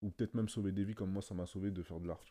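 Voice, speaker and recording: A man speaks at a fairly low pitch with a dark, mellow tone. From Paris suburbs, France (Sarcelles). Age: 20s. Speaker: digital painter. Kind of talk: casual interview chat. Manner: hesitant, many fillers and repetitions.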